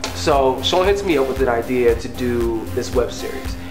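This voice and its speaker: A man speaks with clear music in the background. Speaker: web series actor. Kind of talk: behind-the-scenes interview talk. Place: kitchen.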